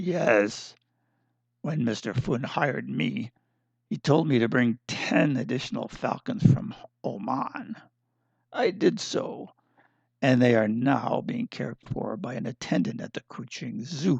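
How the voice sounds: A man uses a gruff, put-on character voice at medium pitch. He speaks at a fairly slow pace with long, frequent pauses.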